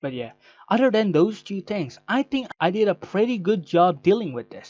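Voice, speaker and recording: Speaking at a moderate pace, a man with a non-native accent uses lively intonation. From Indonesia. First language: not English. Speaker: content creator. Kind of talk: personal statement video. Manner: halting.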